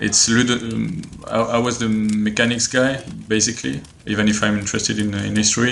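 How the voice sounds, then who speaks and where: Speaking at a fairly quick pace with a French accent, a man at medium pitch keeps a fairly even intonation over noticeable background noise. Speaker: board game designer. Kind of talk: interview answer. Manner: hesitant, many fillers.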